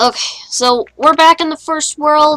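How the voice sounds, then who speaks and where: With a bright, sharp tone, a woman talks at a moderate pace. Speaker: gaming YouTuber. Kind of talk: gameplay commentary. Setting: voice call with co-player. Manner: casual.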